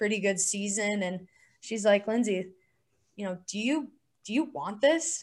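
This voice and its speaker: A woman with a Southwestern US accent, medium pitch and a moderate pace. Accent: American (Southwest). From Arizona. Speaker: former Olympic hockey player. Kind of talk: interview.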